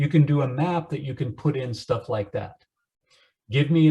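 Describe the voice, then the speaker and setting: Somewhat breathy and dark, mellow in tone, a man talks at a fairly quick pace with ordinary pitch variation. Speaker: computer science instructor. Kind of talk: lecture.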